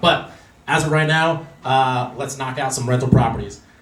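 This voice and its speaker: Audible room echo around a man's medium-pitched voice, moderate in pace and fairly even in intonation. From Los Angeles. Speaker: real estate investor speaker. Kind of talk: presentation to meetup audience.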